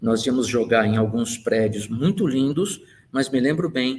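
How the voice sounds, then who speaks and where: Here a man has a plain, everyday voice at medium pitch, with ordinary pitch variation. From Brazil, Santos (São Paulo coast). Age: 60s. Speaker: engineer and university professor. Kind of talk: life-story interview monologue.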